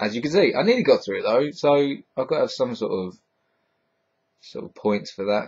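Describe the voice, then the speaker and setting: A man with a Hertfordshire accent speaks at a moderate pace. His loudness swings widely, and he takes long, frequent pauses. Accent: southern English, Hertfordshire, a bit London. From Hertfordshire, southern England. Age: 20s. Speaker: vlogger. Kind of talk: casual vlog answering viewer questions. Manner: halting, stumbles over sentences; casual, filled with ums.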